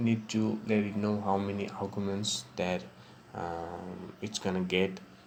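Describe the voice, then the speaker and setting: Very slowly, a man with a non-native accent speaks at a fairly low pitch. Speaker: programming tutorial maker. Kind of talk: screen-recorded software tutorial. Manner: casual, hesitant with fillers.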